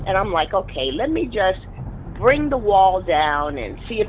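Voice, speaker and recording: A woman speaks with a passionate, animated tone over noticeable background noise. Her medium pitch swings very widely. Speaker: business coach and network marketer. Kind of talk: interview.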